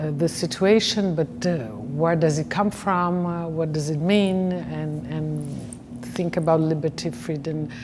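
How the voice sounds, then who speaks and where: Over noticeable background noise and audible room echo, a woman with a Brazilian Portuguese accent speaks fairly slowly in a very deep, low pitch with ordinary pitch variation. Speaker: professor. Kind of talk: interview. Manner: halting, many fillers.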